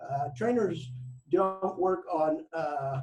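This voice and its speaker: The man speaks in a dark, mellow tone. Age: 70s. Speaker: fitness coach. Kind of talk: interview. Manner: halting.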